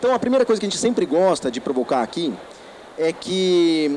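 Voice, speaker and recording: Over noticeable background noise, a man with a high pitch rattles along at a very fast pace with lively intonation. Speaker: education consultant, company founder. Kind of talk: lecture. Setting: trade fair stand with audience. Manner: animated.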